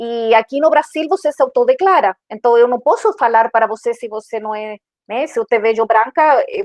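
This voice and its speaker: A woman's fairly high voice in a Chilean accent, fairly quick, with ordinary pitch variation. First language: Spanish (speaking Portuguese). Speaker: diversity and inclusion manager. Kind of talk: panel discussion. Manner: halting, many fillers.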